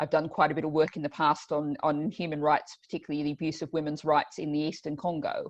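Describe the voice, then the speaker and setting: A very fast, monotone woman's voice with an Australian accent, very deep and low in pitch, over a quiet background. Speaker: politician and event host. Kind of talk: online panel introduction. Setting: video call.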